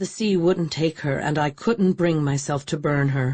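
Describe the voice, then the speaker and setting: This is a put-on character voice at a middle pitch. The pace is moderate. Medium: read story. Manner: weary, hushed.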